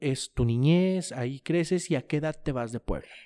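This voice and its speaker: In a very clean recording with a silent background and a dry, close sound with no echo, a man talks at a fairly high pitch with lively intonation. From Mexico, La Laguna region. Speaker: podcast host. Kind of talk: interview.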